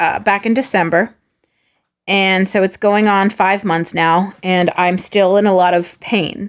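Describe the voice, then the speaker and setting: On a very clean recording with a silent background, a woman with a normal speaking voice speaks at a medium pitch and a fairly slow pace, her loudness very even. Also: fairly even intonation. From California, San Diego. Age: 30s. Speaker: actor. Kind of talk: casual chat.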